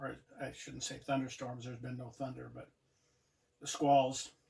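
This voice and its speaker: A man's somewhat breathy, relaxed voice at medium pitch, dark and mellow in tone, with monotone, flat intonation and a moderate pace. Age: 70s. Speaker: outdoor vlogger. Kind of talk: casual vlog talk. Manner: relaxed, halting with fillers.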